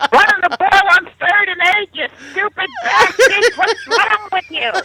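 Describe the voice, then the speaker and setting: A put-on character voice at an extremely high pitch. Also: moderate pace. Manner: shouting, angry.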